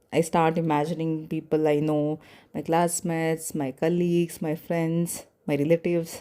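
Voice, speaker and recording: The voice has a dark, mellow tone and a non-native accent, moving at a moderate pace. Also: woman. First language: not English. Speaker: podcaster. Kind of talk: personal reflection monologue. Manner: hesitant, with pauses.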